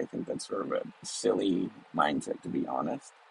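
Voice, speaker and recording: With noticeable background noise present, a man keeps a moderate pace. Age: 40s. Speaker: business professor. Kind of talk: solo educational talk. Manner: hesitant, many fillers.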